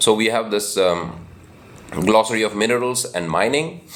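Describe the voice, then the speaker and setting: A man speaks at a moderate pace while noticeable background noise goes on. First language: Hindi. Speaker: book channel host. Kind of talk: informal talk. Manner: halting, many fillers.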